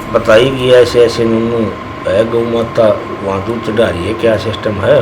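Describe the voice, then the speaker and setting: A man's voice sits at a medium pitch. Background noise is clearly noticeable behind him. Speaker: local temple devotee telling the legend. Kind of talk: interview answer. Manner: casual, conversational.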